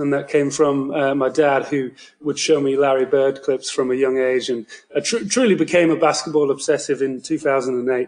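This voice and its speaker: A man's fairly high-pitched voice with a British accent, at a moderate pace and with fairly even intonation. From United Kingdom. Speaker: basketball writer. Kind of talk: casual podcast chat. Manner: halting, many fillers.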